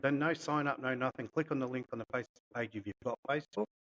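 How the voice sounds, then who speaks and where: A man with an Australian accent, recorded with a dry, close sound and no echo. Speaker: golf club podcast host. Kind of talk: casual chat.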